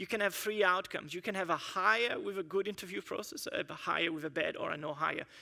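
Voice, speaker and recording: A man with a high pitch projects a raised voice in a bright, sharp tone at a fairly quick pace. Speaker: engineering manager giving a conference talk. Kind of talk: conference presentation. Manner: fast.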